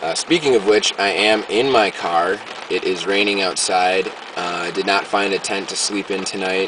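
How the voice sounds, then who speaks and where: A man speaks at a moderate pace with a fairly low pitch and ordinary pitch variation. Noticeable background noise runs behind him. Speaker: video diarist. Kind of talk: video diary. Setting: in a car. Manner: halting.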